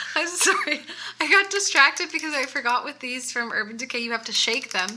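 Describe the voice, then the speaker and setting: A woman's raised, projected voice, high in pitch, with lively intonation, a fairly quick pace and noticeable background noise. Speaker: makeup reviewer. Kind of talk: casual chat. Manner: fast.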